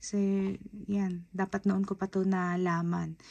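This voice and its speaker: A woman at a fairly slow pace, her intonation monotone and flat. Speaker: beauty vlogger. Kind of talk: product haul review. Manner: casual, chatty.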